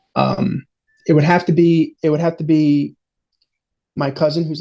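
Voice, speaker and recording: This man has a somewhat breathy, dark, mellow tone and an American accent. His pitch is fairly high and his pace moderate. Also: long, frequent pauses. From New York. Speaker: interview guest sharing weight loss journey. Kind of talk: casual interview. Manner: halting, many fillers.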